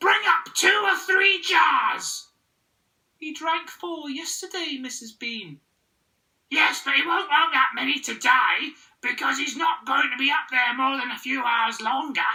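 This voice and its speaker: The speaker uses a put-on character voice at a high pitch. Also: fairly slow pace. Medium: read story. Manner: bossy.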